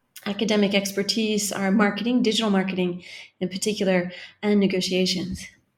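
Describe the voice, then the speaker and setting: In a Californian accent, a woman speaks at a medium pitch with monotone, flat intonation. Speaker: marketing professor. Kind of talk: interview.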